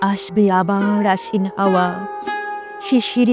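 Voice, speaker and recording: A woman with a medium pitch talks while music plays behind her. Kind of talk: poetry reading. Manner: sorrowful, emotional.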